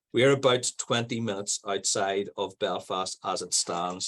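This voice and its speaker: Against a quiet background, a voice with a Northern Irish accent comes through dry and close, with no echo. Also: man. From Northern Ireland. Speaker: primary school principal. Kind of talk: conference presentation. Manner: fast.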